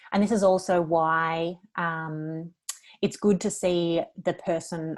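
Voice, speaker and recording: A fairly low female voice in an Australian accent, with fairly even intonation. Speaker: lawyer. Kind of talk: webinar presentation. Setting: online webinar.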